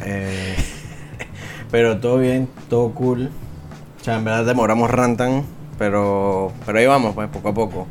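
A man at medium pitch and a fairly slow pace, with fairly even intonation, long, frequent pauses, audible room echo and music in the background. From Venezuela. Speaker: podcast co-host. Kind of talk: casual chat.

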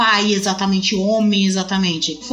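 A woman's voice with audible room echo. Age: 30s. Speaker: mother, podcast guest. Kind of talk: casual chat.

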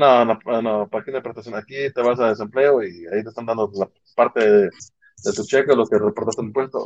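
This man has an unremarkable speaking voice, medium pitch and ordinary pitch variation, and he talks at a fairly quick pace. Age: 30s. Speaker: podcast co-host. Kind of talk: casual chat.

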